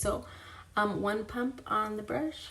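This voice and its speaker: A woman's voice in audible room echo, with noticeable background noise. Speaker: beauty vlogger, mother. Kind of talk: makeup tutorial, casual chat. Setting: home bathroom vanity. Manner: loud.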